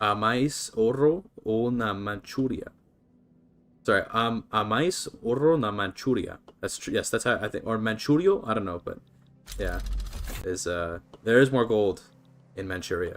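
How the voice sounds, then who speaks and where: At a moderate pace and medium pitch, a man talks with lively intonation and long, frequent pauses. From Canada, British Columbia. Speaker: video game streamer. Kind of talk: casual live-stream commentary. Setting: live stream. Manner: casual, chatty.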